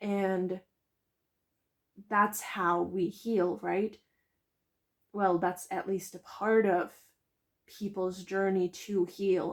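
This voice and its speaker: Speech with a non-native accent comes at a very slow pace, broken by long, frequent pauses. The intonation stays monotone and flat. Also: woman, medium pitch for a woman. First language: not English. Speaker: tarot reader. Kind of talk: pick-a-card tarot reading.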